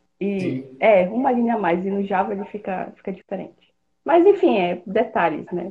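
Somewhat breathy, a woman speaks at a moderate pace with medium pitch and ordinary pitch variation. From Pará, northern Brazil. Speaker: software developer. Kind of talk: podcast interview.

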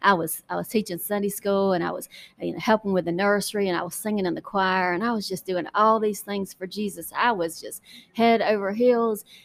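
A woman with a Southern US accent, medium pitch, ordinary pitch variation and a fairly quick pace. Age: 40s. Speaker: podcast host and political candidate. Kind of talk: personal testimony. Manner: halting.

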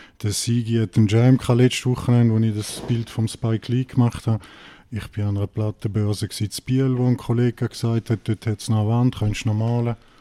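A man talks at a fairly quick pace. His medium pitch stays monotone and flat. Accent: St. Gallen. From Switzerland, St. Gallen. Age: 40s. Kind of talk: casual interview.

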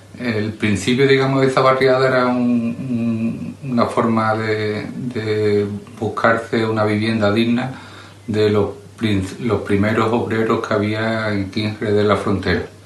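With audible room echo and noticeable background noise, a man of medium pitch speaks at a fairly slow pace with fairly even intonation. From southern Jerez, Andalusia. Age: 50s. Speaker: local resident interviewee. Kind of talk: personal testimony. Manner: halting.

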